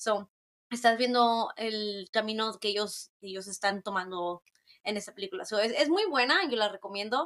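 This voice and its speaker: A woman speaks at a moderate pace in a fairly high voice, with ordinary pitch variation. The sound is dry and close, with no echo. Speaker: podcast guest. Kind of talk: casual chat. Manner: code-switching Spanish and English.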